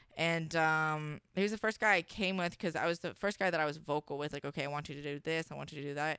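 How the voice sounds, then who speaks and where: The speaker races along at a very fast pace with a bright, sharp tone and fairly even intonation on a very clean recording with a silent background. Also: woman, very deep, low pitch for a woman. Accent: American. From Washington state. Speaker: adult performer. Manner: sweet, outgoing, cheerful.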